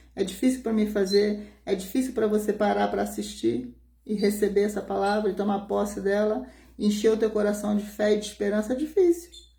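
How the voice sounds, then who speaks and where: A soft-spoken woman with a dark, mellow, somewhat breathy tone talks at a medium pitch and moderate pace, with audible room echo around her. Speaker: pastor. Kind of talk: sermon.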